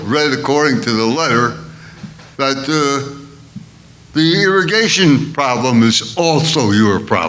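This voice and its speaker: Through audible room echo, a man with a fairly high pitch and lively intonation speaks at a very slow pace. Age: 80s+. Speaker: elderly resident speaking at public comment. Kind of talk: public comment at a board meeting.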